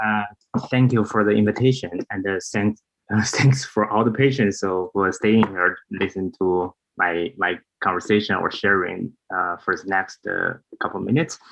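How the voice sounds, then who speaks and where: Speaking with a Chinese accent, a man uses a fairly low pitch and ordinary pitch variation. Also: moderate pace. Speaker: priest. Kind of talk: conference talk. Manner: halting.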